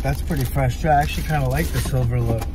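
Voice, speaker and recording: Against noticeable background noise, a man speaks with a very deep, low pitch in a dry sound with no echo. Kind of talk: unboxing review. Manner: loud; animated. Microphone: phone near.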